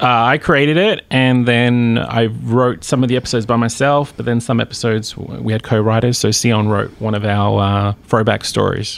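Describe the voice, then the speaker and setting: A man speaks with an Australian accent. His pace is moderate and his intonation fairly even. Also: medium pitch for a man. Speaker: TV series creator. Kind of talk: interview. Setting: studio.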